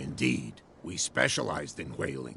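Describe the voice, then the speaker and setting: In a put-on character voice, a man speaks at a moderate pace with a raspy, very deep, low pitch. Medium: video game.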